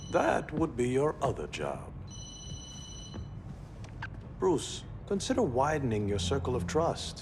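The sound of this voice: Doing a put-on character voice, a man speaks at a slow pace with very wide pitch swings and long, frequent pauses. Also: medium pitch for a man.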